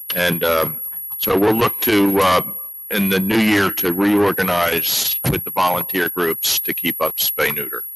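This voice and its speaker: A man mumbles at a fairly slow pace in a very deep, low pitch. His tone is bright and sharp, and his intonation fairly even. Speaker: municipal health officer. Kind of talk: budget hearing testimony. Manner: mumbling; halting.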